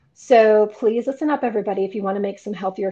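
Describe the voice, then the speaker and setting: Over a quiet background, a woman talks very fast with a fairly high pitch. Her tone is dark and mellow, with ordinary pitch variation. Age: 50s. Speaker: podcast host and fit model. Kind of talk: podcast intro and outro.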